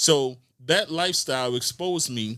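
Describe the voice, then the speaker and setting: A man speaks at a fairly high pitch, with ordinary variation in his pitch. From Baltimore, East Baltimore. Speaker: podcast guest. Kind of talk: casual interview conversation.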